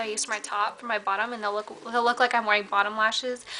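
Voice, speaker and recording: Over noticeable background noise, a woman talks at a very fast pace in a monotone, flat intonation. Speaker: beauty vlogger. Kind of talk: makeup tutorial. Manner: casual, filler-heavy.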